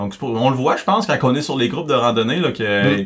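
A man is speaking. He has a Quebec accent. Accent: Québécois French. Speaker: podcast co-host. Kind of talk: casual chat.

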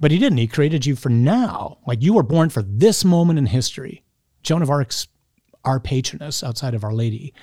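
Speaking at a moderate pace, a man uses a fairly high, somewhat breathy voice with a dark, mellow tone. His intonation is lively. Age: 50s. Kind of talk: interview.

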